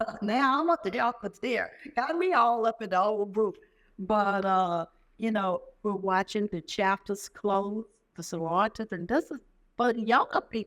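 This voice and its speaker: An ordinary speaking voice from a woman, fairly high in pitch with lively intonation and a moderate pace, in a very clean recording with a silent background. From US South, southwest Virginia. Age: 60s. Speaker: military veteran. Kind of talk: oral history interview. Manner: casual conversational.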